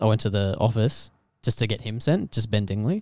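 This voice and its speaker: An Australian-accented man talks at a moderate pace with fairly low pitch. The recording is very clean and dry, close with no echo, over a silent background. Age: 20s. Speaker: friend of the host. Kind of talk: casual chat.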